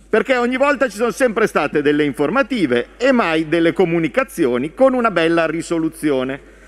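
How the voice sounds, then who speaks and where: A man at a fairly quick pace, with very wide pitch swings and hardly any pauses. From Italy. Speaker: member of parliament. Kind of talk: parliamentary speech, fiery oratory addressed to the prime minister. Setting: parliament chamber. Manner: indignant, sharp and combative, emphatic, scolding tone. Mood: heated, combative. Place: hall. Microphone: podium.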